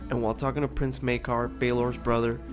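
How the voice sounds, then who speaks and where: A man's voice with music in the background. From Peru. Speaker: fan theory commentator. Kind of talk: video essay narration.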